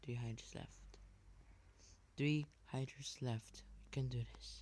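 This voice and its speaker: The voice is quiet. It moves at a very slow pace. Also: man. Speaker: gaming youtuber. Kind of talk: gameplay commentary.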